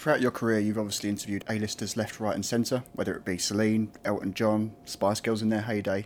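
A man in an Essex accent, medium in pitch and at a fairly quick pace, in a very clean recording with a silent background. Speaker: podcast host. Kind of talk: interview. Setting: backstage dressing room.

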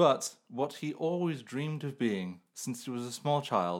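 On a very clean recording with a silent background, a man with an English Midlands accent speaks at a fairly slow pace with ordinary pitch variation. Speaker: podcast host and amateur writer. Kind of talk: casual chat; improvised storytelling.

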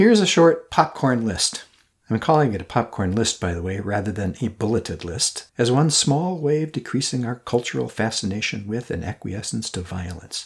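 A man with a medium pitch and a somewhat breathy voice talks at a moderate pace with lively intonation. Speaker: podcast host and coach. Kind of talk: reflective solo monologue. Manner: earnest, reflective.

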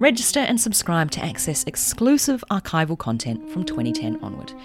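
In a New Zealand accent, a woman talks at a moderate pace over music in the background. Her very deep, low pitch swings very widely. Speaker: podcast host.

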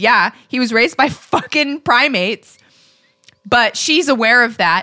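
A woman's high-pitched, bright, sharp voice at a fairly slow pace. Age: 30s. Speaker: podcast co-host. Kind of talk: casual chat.

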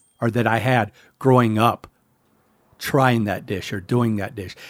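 With an American accent, a man uses an unremarkable speaking voice at medium pitch and fairly even intonation, recorded very cleanly against a silent background. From US South. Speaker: podcast host and chef. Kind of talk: casual chat. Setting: studio.

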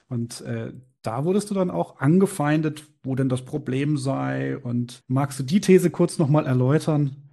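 A man's dark, mellow voice, somewhat breathy, with ordinary pitch variation. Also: fairly high pitch for a man, fairly slow pace. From Bavaria, small town. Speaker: podcast host. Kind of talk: interview.

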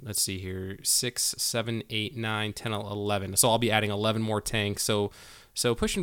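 An ordinary speaking voice, a man with an American accent at a medium pitch and moderate pace, on a very clean recording with a silent background. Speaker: podcast host. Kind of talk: casual interview.

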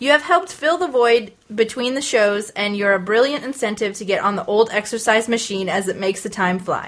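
Here a woman with an unremarkable speaking voice talks at a fairly quick pace and a fairly high pitch. She takes hardly any pauses. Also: lively intonation. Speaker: podcast host. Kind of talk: casual chat.

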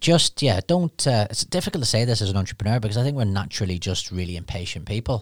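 A man with a Northern Irish accent talks at a very fast pace with ordinary pitch variation on a very clean recording with a silent background. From Northern Ireland, Newry. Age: 40s. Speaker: recruitment business founder. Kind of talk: interview.

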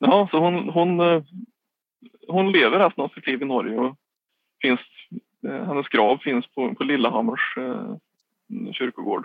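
A man with a Värmland accent speaks at fairly high pitch and a moderate pace. His pitch swings very widely, and he takes long, frequent pauses. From Värmland, Sweden (Skåre near Karlstad). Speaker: government communications officer and literary society board member. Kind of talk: interview. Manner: halting.

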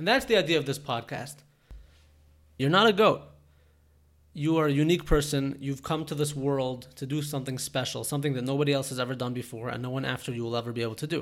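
Speaking very fast, a man uses a fairly high pitch with ordinary pitch variation. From Toronto, Canada. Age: 20s. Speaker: podcast host and entrepreneur. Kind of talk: solo podcast monologue.

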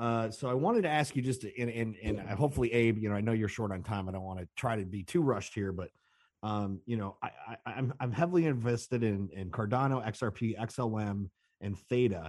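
Against a quiet background, a man with an American accent uses a normal speaking voice at medium pitch, fairly quick pace, and ordinary pitch variation. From Chicago. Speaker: caller, musician and DJ. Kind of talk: call-in chat.

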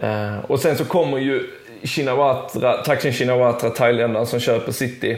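At a moderate pace, a man talks at medium pitch with fairly even intonation. The room echo is audible, and there is noticeable background noise. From southern Sweden, Skåne. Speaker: sports journalist and football podcaster. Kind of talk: casual chat.

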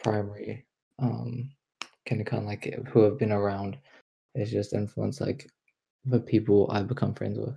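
A man's fairly low, dark and mellow voice with vocal fry, fairly even intonation, a moderate pace and long, frequent pauses. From China, raised in New Zealand from age three. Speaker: student podcast co-host. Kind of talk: casual chat.

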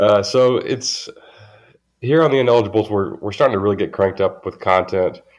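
At a moderate pace, a man talks at a fairly low pitch with a Southern US accent. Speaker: sports podcast host. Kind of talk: casual chat.

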